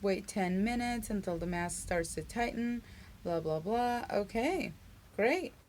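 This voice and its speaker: A woman's pitch shows ordinary variation. She talks at a moderate speed. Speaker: beauty and lifestyle vlogger. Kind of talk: casual unboxing video. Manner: animated.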